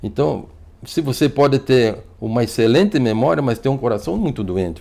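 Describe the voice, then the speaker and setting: A man speaks at a fairly quick pace with lively intonation. His medium-pitched voice has a dark, mellow tone. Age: 60s. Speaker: physician. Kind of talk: TV interview. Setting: TV studio. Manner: fluent.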